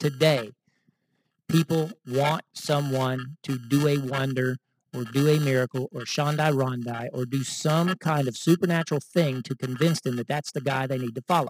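With an American accent and an unremarkable speaking voice, a man speaks at a moderate pace in a fairly high pitch with fairly even intonation, the sound dry and close with no echo. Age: 50s. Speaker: messianic congregation teacher. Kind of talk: sermon.

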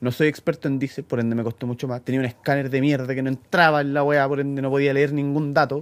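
A man with a Chilean accent, fairly high-pitched and monotone, at a very fast pace. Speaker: mechanic, podcast co-host. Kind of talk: casual chat.

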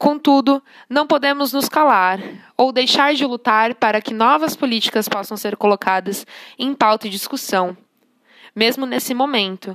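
At a moderate pace, a woman speaks in a high pitch with ordinary pitch variation, in a very clean recording with a silent background and a dry, close sound with no echo. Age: 20s. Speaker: social work student. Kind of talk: scripted narration. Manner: formal.

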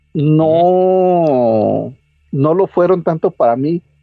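A high-pitched man with lively intonation over music in the background. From central Mexico (Toluca, State of Mexico). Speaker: podcaster. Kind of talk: casual chat.

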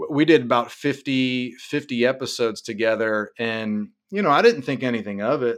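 With a Midwestern US accent, the speaker keeps a moderate pace with hardly any pauses and ordinary pitch variation. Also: man, medium pitch for a man. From Ohio, Cincinnati. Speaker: app founder. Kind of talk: casual interview.

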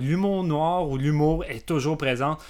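A man with a Quebec accent, fairly high pitch and ordinary pitch variation, on a very clean recording with a silent background. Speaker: film podcast guest. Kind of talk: casual chat.

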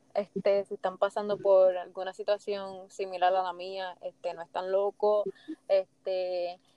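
In a dry, close recording with no echo, a woman with a dark, mellow tone and medium pitch speaks at a fairly slow pace. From Puerto Rico, Fajardo and Luquillo. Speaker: guest, mother of two. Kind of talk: casual interview.

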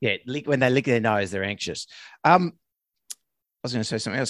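In an Australian accent, the speaker's pitch swings very widely, recorded very cleanly over a silent background with a dry, close sound and no echo. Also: man. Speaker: veterinarian, podcast co-host. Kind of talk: casual chat. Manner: fast.

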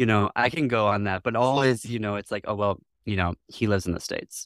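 An unremarkable speaking voice from a man, fairly quick, with ordinary pitch variation and a dry, close sound with no echo. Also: very clean recording, silent background. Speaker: diversity officer and library founder. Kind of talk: casual interview chat.

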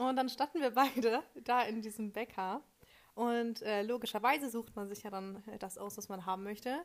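A woman speaks in a plain, everyday voice, fairly high in pitch, at a moderate pace. Her pitch varies in an ordinary way, with big swings in loudness. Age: young. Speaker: communication studies student and podcast co-host. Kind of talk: casual chat.

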